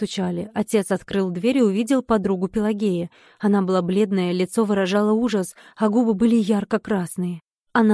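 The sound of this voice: The background stays quiet while an unforced reading voice carries the text.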